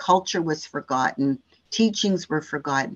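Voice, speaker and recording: An unremarkable speaking voice keeps a moderate pace, its pitch varying in an ordinary way. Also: woman. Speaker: social service agency representative. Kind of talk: interview answers.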